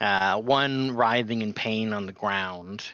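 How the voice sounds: Pitch moves with ordinary variation. The delivery is a natural reading voice.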